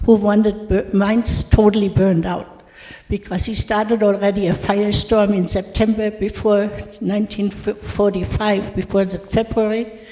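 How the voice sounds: Speaking at a fairly slow pace, a woman has a dark, mellow tone and a medium pitch.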